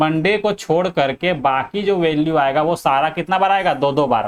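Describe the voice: Speaking at a moderate pace, a man with a fairly high voice uses ordinary pitch variation.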